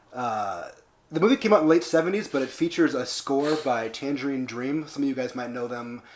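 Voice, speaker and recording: A man speaks at a fairly quick pace and a fairly high pitch, with noticeable background noise. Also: ordinary pitch variation. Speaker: podcast host. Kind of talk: casual chat. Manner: fast when excited.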